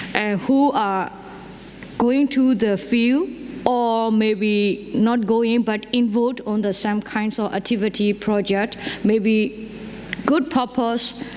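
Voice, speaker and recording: A woman with a fairly high voice speaks very slowly at a very even loudness and with fairly even intonation, and the recording carries audible room echo and noticeable background noise. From Myanmar, Karen community. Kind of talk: conference panel talk. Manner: halting, many fillers and restarts.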